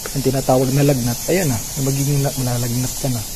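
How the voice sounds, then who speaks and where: A man with a fairly high-pitched voice talks at a fairly quick pace, with noticeable background noise and audible room echo. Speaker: cave explorer vlogger. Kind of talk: casual vlog narration. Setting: outdoors in a cave. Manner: loud; halting, self-correcting.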